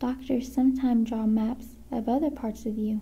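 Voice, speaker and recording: A woman whispers, soft-spoken. She talks at a fairly slow pace. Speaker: ASMR creator. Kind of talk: ASMR book reading. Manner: whispered, soft-spoken.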